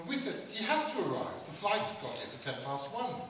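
Amid light background noise and strong room echo, a man talks at a moderate pace with very wide pitch swings. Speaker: event organiser and compere. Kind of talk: stage introduction, humorous anecdotes. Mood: wry, humorous storytelling. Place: hall.

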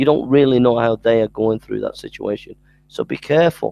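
A man speaks at medium pitch in a dark, mellow tone with vocal fry and ordinary pitch variation. The pace is fairly quick, and the sound is dry and close with no echo.

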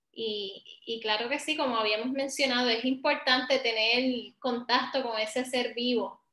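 A woman with a Puerto Rican accent speaks in a high, bright, sharp voice at a fairly slow pace, with fairly even intonation, hardly any pauses, and audible room echo. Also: quiet background. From Puerto Rico, Ponce; Puerto Rico. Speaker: professor, early education; professor. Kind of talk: online workshop presentation. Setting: video call. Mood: warm, calm. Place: home room. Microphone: video call.

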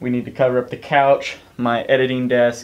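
The man's intonation is flat and monotone. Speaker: vlogger. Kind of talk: casual vlog chat. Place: home room. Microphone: camera far.

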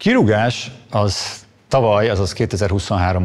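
A man is talking. Ordinary pitch variation runs through his speech. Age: 50s. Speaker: economist, former university lecturer; former university lecturer. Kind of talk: testimony. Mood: calm, measured, serious. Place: studio.

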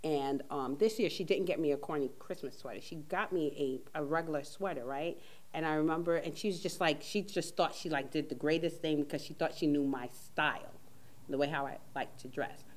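At a fairly quick pace, a woman speaks in a very deep, low voice with ordinary pitch variation. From Caribbean. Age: 40s. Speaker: talk show host. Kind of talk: casual chat. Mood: relaxed, amused. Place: studio.

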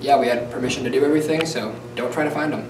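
Noticeable background noise sits behind a man speaking with fairly even intonation. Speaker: student show host. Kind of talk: closing address to viewers. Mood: light, slightly joking disclaimer. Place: studio.

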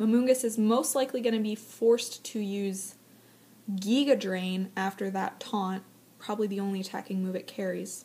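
A woman speaks in a normal speaking voice. Her pitch sits in the medium range. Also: fairly even intonation, moderate pace. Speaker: aspiring live esports commentator. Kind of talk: esports live commentary audition.

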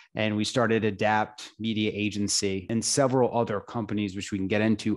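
A man at a moderate pace, fairly low in pitch and monotone, flat in intonation, over a quiet background. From upstate New York. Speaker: entrepreneur and investor; podcast guest. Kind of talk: interview. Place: home room. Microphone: studio mic.

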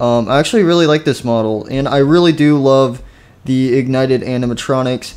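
This man talks at a moderate pace at a medium pitch in an ordinary speaking voice. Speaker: gaming video creator. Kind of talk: casual, chatty.

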